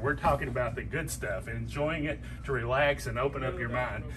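A man with a Tennessee accent at a fairly quick pace, over noticeable background noise. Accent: Southern US (Tennessee). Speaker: fishing guide promoting a liquor store. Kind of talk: promotional product showcase. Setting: in a liquor store. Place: shop. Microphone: phone near.

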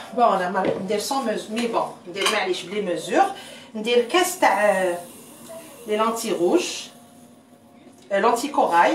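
A woman talks at a very slow pace with long, frequent pauses. There is audible room echo and light background noise. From Algeria. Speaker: cooking livestreamer. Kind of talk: live cooking stream. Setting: livestream. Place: kitchen. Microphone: phone near.

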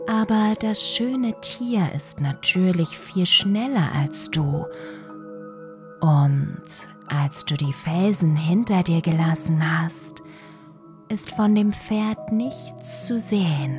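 A woman's fairly low voice at a very slow pace, broken by long, frequent pauses, with music in the background. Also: lively intonation. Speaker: meditation guide. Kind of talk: sleep story. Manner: soft-spoken, slow.

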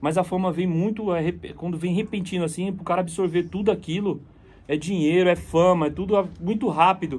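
A man's high voice with fairly even intonation at a fairly quick pace. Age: 30s. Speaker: friend of a deceased singer, fitness house member; guest. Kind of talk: casual chat. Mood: reflective, serious. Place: studio. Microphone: phone near.

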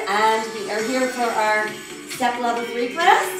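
A woman at a moderate pace, with audible room echo and music in the background. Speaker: fitness instructor. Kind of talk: exercise class cueing. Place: gym.

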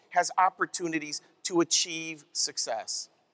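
Bright and sharp in tone, a man's voice comes through. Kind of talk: keynote speech. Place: hall. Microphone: headset.

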